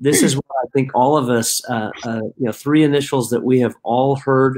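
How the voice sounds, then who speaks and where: A man talks at a moderate pace with fairly even intonation against a quiet background. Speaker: company founder hosting a talk. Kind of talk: casual webinar introduction. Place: home room.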